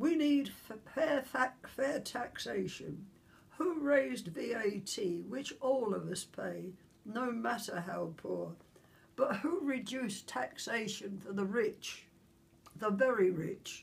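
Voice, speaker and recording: Her voice is fairly high, and her intonation is lively. The woman speaks at a very slow pace. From London, England. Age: 80s+. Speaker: Second World War veteran. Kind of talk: political open letter read to camera.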